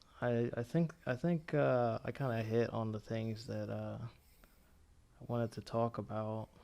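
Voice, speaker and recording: A man with an American accent speaks fairly slowly at a medium pitch. His pitch variation is ordinary. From United States, Dominican family. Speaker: online commentator. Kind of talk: casual chat. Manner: proper, articulate speech.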